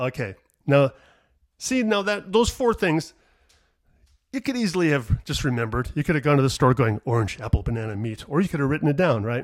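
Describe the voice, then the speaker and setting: In a very clean recording with a silent background, a man speaks at a fairly quick pace and a fairly high pitch, with very wide pitch swings and long, frequent pauses. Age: 50s. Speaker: comedian. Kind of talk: solo monologue podcast, casual rambling. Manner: rambling, self-deprecating, digressive; mumbles, sometimes not enunciating.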